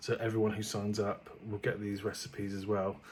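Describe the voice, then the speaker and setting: A soft-spoken man with a British accent speaks at a moderate pace. His fairly low voice has monotone, flat intonation. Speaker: vlogger and cookery business owner. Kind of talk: casual vlog talk. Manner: soft-spoken, speaking quietly.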